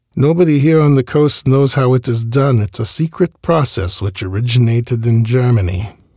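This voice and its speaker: A man speaks at a medium pitch with a dark, mellow tone that is somewhat breathy. His pace is moderate with ordinary pitch variation and hardly any pauses. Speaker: podcast host reading an oral history. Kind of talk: reading aloud a 1939 interview transcript in the first person of an elderly furrier.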